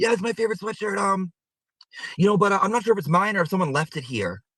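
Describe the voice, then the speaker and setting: A put-on character voice from a man, raspy and high-pitched, at a very fast pace. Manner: cute, casual.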